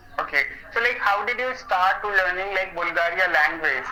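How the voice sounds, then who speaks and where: A man with an Indian accent, high-pitched for a man, with a raised, projected voice, a moderate pace, ordinary pitch variation, noticeable background noise and audible room echo. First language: Hindi. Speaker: English learner. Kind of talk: casual chat. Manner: halting.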